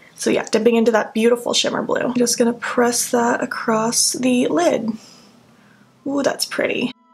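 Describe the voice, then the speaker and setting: A woman with a high pitch talks at a moderate pace with fairly even intonation. Noticeable background noise is present. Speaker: beauty vlogger. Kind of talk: makeup tutorial. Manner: quieter than usual; casual, chatty.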